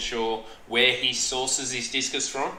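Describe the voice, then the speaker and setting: This man has an Australian accent and a medium pitch, talking in a flat monotone, with audible room echo and noticeable background noise. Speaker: aquarium hobbyist streamer. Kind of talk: live stream chat. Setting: live stream. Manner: halting, stuttering. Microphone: echo in headset.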